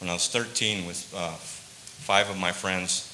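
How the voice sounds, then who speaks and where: Over noticeable background noise, a man with an American accent speaks in a very deep, low voice with monotone, flat intonation. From Tucson, Arizona (south side barrios); Arizona. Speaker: biker ministry member; guest. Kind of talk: testimony. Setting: church service. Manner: halting. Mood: earnest personal story. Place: church.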